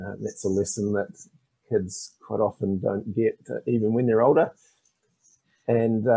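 A man with a New Zealand accent talks at a fairly slow pace in a dark, mellow tone. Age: 50s. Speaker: financial education author. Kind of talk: interview.

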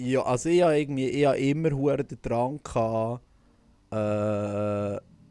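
A man with a Swiss accent talks at a very slow pace with long, frequent pauses, his medium-pitched voice dark and mellow with ordinary pitch variation. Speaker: podcast host and singer. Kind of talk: casual chat. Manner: animated.

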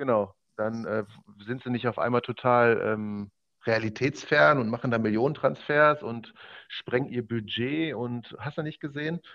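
This man has a plain, everyday voice at a medium pitch. He talks at a fairly slow pace with ordinary pitch variation. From Ruhr area, Germany (Oberhausen). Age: 20s. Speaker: esports gamer, basketball video game league champion. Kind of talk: casual podcast interview.

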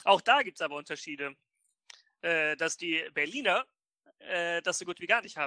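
A man with a high pitch and a bright, sharp tone at a moderate pace, lively intonation, big swings in loudness, long, frequent pauses, and a dry, close sound with no echo. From northern Germany, Oldenburg. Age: 20s. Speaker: podcast co-host. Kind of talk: casual chat.

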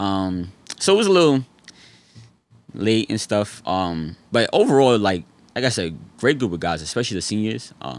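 A man with a New York accent, fairly low pitch, lively intonation, a moderate pace and long, frequent pauses. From New York City (Harlem and the Bronx). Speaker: former basketball player. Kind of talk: interview. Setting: studio.

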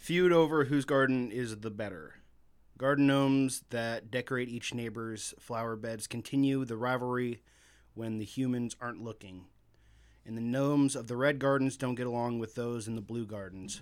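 A man with a plain, everyday voice and a medium pitch speaks with fairly even intonation in a very clean recording with a silent background. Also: moderate pace. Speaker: podcast host. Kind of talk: casual banter, comedic film review. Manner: joking, laughs often.

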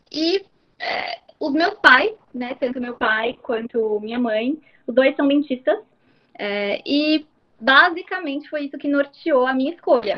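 Lively intonation in a high-pitched female voice. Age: 20s. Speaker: dentist. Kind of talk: podcast interview. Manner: hesitant, many fillers.

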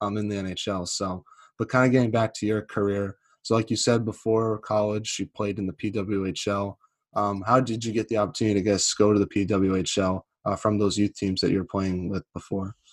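This man speaks with an American accent at a fairly quick pace, his fairly low pitch held in a monotone, flat delivery. The recording is very clean with a silent background and a dry, close sound with no echo. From New England, US. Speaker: podcast host. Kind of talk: casual interview.

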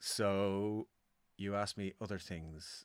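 In a very clean recording with a silent background, a man with a Dublin accent speaks with a very deep, low pitch, a bright, sharp tone and fairly even intonation. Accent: Dublin Irish. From Ireland, Dublin. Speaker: musician and producer. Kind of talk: casual interview chat. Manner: halting, with many fillers.

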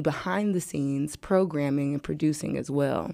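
In a very clean recording with a silent background, a woman talks with lively intonation and a dark, mellow tone. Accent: American. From US Midwest, St. Louis. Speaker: event founder and promoter. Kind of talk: casual interview. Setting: studio.

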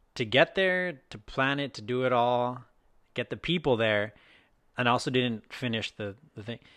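In a quiet background, a man with a normal speaking voice talks at a medium pitch and a moderate pace. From Texas. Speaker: podcast co-host. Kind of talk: casual chat.

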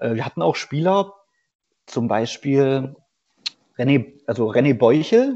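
This man speaks at a very slow pace, with long, frequent pauses. His pitch sits in the medium range, and his intonation is lively. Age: 30s. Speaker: former pro footballer, amateur player. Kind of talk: interview.

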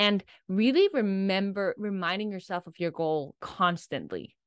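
Dry and close with no echo over a quiet background, the voice carries a Danish accent, moving at a moderate pace with ordinary pitch variation. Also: woman. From Denmark. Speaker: life coach. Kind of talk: casual chat.

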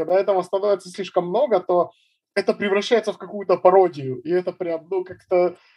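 With a dark, mellow tone, a man speaks at a fairly quick pace in a dry, close sound with no echo. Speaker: musician and stand-up comedian. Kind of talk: casual chat.

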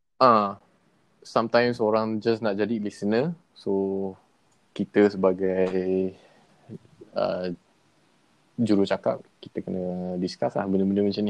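Speaking at a fairly slow pace with fairly even intonation, a man with a fairly low pitch takes long, frequent pauses. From Kedah, Malaysia. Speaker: podcast guest. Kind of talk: casual chat. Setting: remote call with earphones.

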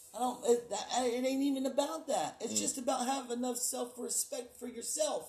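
A man speaks at an extremely high pitch, with noticeable background noise behind him. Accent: American. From Texas (Houston, Galveston) and Oklahoma. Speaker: guest, construction superintendent. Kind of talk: casual chat. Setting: studio.

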